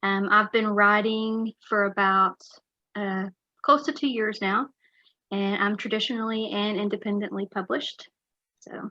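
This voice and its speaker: A woman with a Texan accent, medium pitch and a bright, sharp tone, fairly slow with long, frequent pauses and fairly even intonation, in a dry, close sound with no echo against a quiet background. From West Texas. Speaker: author. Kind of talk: interview.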